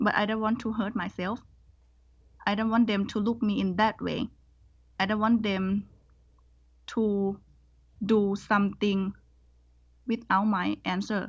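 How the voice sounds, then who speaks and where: A woman's somewhat breathy, medium-pitched voice with a Thai accent, monotone and flat, at a fairly slow pace with long, frequent pauses over a quiet background. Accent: Thai-accented English, moderate. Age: 20s. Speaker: scholarship student. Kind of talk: interview, casual chat. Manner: hesitant, non-fluent English.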